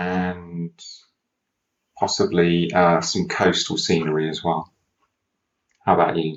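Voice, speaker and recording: In a British accent, a man with a very deep, low voice speaks at a very slow pace in a monotone, flat delivery with long, frequent pauses. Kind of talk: casual conversation for English learners.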